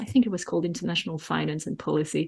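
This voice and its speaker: Against a quiet background, a woman speaks with a French accent. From France. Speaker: economic forecaster and author. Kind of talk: interview.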